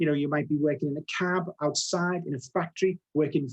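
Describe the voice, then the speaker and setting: A man speaks in a Liverpool accent. He talks at a fairly quick pace with ordinary pitch variation. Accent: Scouse. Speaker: software product director. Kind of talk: webinar presentation. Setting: live webinar. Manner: fast.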